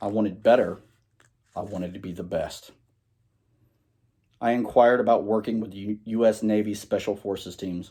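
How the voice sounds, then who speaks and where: A man's fairly low-pitched, dark, mellow voice at a moderate pace. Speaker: Navy veteran. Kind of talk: personal speech to students.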